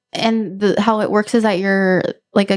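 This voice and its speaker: With a medium pitch, a woman speaks at a fairly quick pace. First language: Spanish. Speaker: podcast host. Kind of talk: casual chat.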